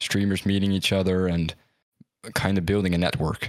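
With a Dutch accent, a man speaks at a moderate pace and a very deep, low pitch. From Netherlands. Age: young. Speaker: esports caster and streamer. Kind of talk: casual chat. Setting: video call.

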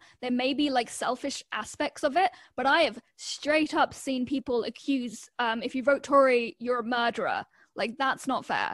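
A woman's high voice with a British accent and ordinary pitch variation, on a very clean recording with a silent background. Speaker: Twitch streamer. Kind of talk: casual chat.

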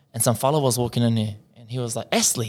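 Recorded very cleanly against a silent background, a man with a New Zealand accent speaks at a medium pitch. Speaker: podcast co-host, Māori language student. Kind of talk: casual chat.

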